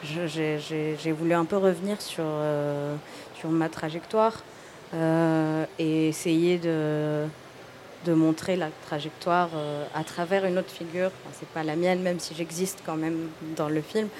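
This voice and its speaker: A woman's fairly low, monotone voice at a fairly slow pace, amid audible room echo and noticeable background noise. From Tunisia. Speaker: film director. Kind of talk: casual chat. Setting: stage with audience. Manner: halting.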